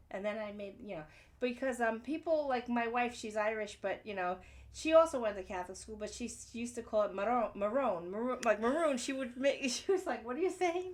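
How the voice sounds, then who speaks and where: A woman's fairly high voice at a fairly quick pace, with lively intonation, big swings in loudness and audible room echo. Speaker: podcast host. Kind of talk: casual chat. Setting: garage.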